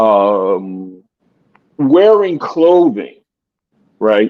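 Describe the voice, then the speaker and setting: A man with a dark, mellow tone speaks with very wide pitch swings. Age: 60s. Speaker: life coach calling in to a live show. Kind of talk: call-in commentary on a live show.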